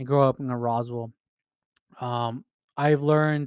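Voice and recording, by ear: A man with a medium-pitched voice and a clear, smooth tone, recorded with a dry, close sound and no echo.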